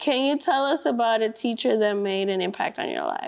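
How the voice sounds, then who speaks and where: With a Spanish accent, a woman talks at a fairly quick pace in a fairly high voice with lively intonation. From Brooklyn, New York. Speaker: school district staff, student teacher. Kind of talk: interview.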